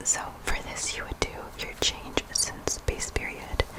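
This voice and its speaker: Against noticeable background noise, the speaker whispers fairly slowly. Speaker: ASMR creator. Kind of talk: ASMR whispered study review. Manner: whispered.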